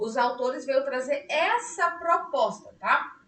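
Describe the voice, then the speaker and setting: Audible room echo surrounds a woman's voice. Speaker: psychologist teaching a study group. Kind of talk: online lecture. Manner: speaking louder than usual; conversational, many fillers. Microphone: weak mic, voice coming out quiet.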